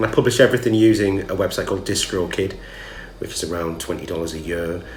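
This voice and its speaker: A man with a Geordie accent talks at a very fast pace, his very deep, low voice carrying lively intonation. Noticeable background noise and audible room echo fill the recording. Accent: Geordie (Newcastle). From northern England, Newcastle. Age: 30s. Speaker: musician. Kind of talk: casual vlog monologue.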